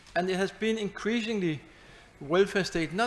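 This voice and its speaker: A man with a Danish accent and ordinary pitch variation. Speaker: professor. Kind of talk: lecture. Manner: fast.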